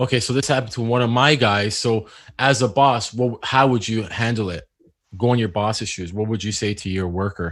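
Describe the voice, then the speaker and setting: In a Canadian accent, a man talks fairly quickly at a medium pitch with ordinary pitch variation and a plain, everyday voice, on a very clean recording with a silent background. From Canada. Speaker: HVAC technician and business owner. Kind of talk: casual chat.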